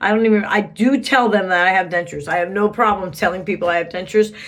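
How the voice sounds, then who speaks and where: In a room with audible echo, a woman speaks very fast at a medium pitch. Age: 40s. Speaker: vlogger. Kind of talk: casual vlog. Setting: bathroom at home. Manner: chatty.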